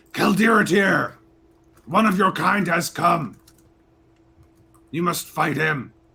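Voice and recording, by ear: A man puts on a raspy, high-pitched character voice. He goes at a fairly slow pace, with long, frequent pauses.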